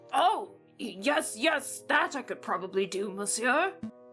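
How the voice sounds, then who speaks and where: A female-sounding put-on character voice, fairly high in pitch, at a fairly slow pace over clear music in the background. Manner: acted, exaggerated.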